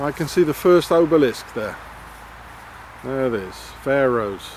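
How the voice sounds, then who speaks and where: Moderate pace and a fairly high pitch from a man, amid noticeable background noise. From South Africa. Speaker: video blogger. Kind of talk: walking vlog rant. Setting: outdoors. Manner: halting.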